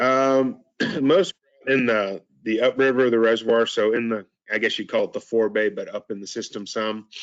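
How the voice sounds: A man speaks with a fairly low pitch. His voice has little pitch movement. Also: moderate pace.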